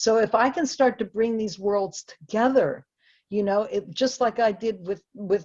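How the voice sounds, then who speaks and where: A woman in an ordinary speaking voice, moderate pace and ordinary pitch variation. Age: 60s. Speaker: composer and lecturer. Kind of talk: lecture. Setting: video call.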